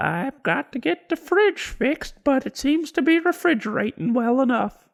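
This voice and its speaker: In a high-pitched, put-on character voice, the speaker moves along at a moderate pace. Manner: creepy.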